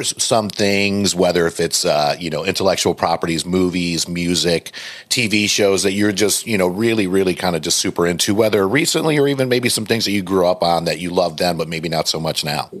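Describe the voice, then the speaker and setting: An ordinary speaking voice moves along fairly briskly. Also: man, hardly any pauses. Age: 40s. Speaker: podcast host. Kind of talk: interview. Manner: casual.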